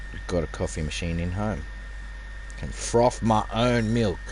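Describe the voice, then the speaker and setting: A man with an Australian accent at a moderate pace, very wide pitch swings, and audible room echo. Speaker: video game streamer. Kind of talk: casual live-stream commentary.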